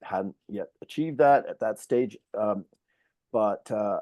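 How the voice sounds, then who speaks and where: In a Canadian accent, a man speaks with a dry, close sound with no echo against a quiet background. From Canada, Toronto. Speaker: professor. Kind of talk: conference talk. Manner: halting.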